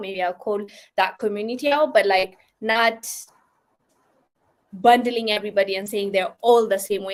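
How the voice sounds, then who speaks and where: A woman's fairly high voice at a moderate pace, with a non-native accent. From Ethiopia. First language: not English. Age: 20s. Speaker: live streamer. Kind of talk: casual live stream chat. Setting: live stream, raining outside. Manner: casual, hesitant with fillers.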